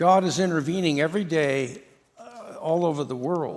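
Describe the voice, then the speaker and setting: In a room with audible echo, a man with a high pitch talks at a moderate pace. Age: 70s. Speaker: guest preacher. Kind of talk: sermon. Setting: church. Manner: halting.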